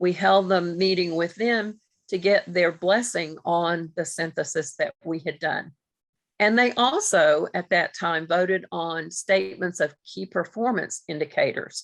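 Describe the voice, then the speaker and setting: A woman uses an ordinary speaking voice. Her pitch is fairly low, with ordinary pitch variation. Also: fairly slow pace. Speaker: grant principal investigator presenting. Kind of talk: webinar presentation.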